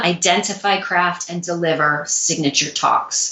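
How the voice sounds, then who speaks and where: A woman talks very slowly with an American accent. Her pitch is medium, and its variation is ordinary. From US Midwest, St. Louis. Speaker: public speaking coach and former dancer. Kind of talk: interview.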